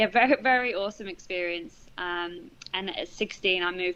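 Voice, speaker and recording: A woman with a British accent, fairly low in pitch, bright and sharp in tone, at a moderate pace. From England. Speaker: charity manager and former teacher. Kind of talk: interview conversation. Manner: frequent hesitations with um.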